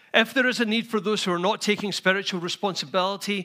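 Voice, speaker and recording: A man with a high pitch and a bright, sharp tone speaks in a raised, projected voice at a fairly quick pace with fairly even intonation. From Scotland. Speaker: pastor. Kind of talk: sermon. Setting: church.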